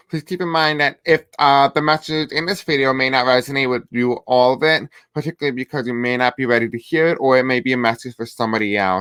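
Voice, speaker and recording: Heard in a dry, close sound with no echo, a man speaks at a very fast pace with a bright, sharp tone. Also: medium pitch for a man, ordinary pitch variation, hardly any pauses. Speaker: tarot reader. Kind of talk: tarot reading to camera.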